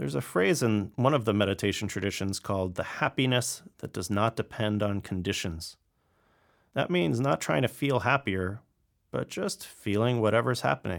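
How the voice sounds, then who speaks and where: On a very clean recording with a silent background, a man with an unremarkable speaking voice talks at a moderate pace, fairly low in pitch, with lively intonation. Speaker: meditation teacher. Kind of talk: guided meditation. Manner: gentle, with long pauses.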